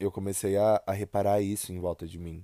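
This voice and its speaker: A man with a São Paulo accent, very deep and low-pitched, dark and mellow in tone, with monotone, flat intonation at a moderate pace, on a very clean recording with a silent background and a dry, close sound with no echo. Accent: São Paulo (paulista). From São Paulo state, Brazil. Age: 20s. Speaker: podcaster. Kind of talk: solo monologue. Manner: casual, rambling with hesitations.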